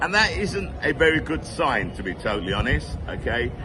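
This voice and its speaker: Noticeable background noise and audible room echo surround a man speaking at a moderate pace and fairly high pitch. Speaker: football fan vlogger. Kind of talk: casual monologue. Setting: pub. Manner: unscripted, off the cuff.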